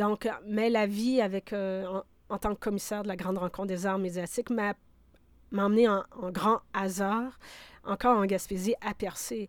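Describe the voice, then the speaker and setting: This woman speaks in a normal speaking voice at a medium pitch and a fairly slow pace, her intonation fairly even, on a very clean recording with a silent background and a dry, close sound with no echo. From Quebec (Abitibi, Bas-Saint-Laurent). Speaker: sound artist and curator. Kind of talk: interview.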